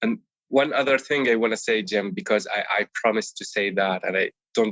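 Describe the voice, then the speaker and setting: A man talks with an Arabic accent. He keeps a moderate pace. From Palestine, village near Bethlehem, West Bank. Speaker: Amazon seller, course student. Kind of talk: interview. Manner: animated; some repetitions and self-corrections.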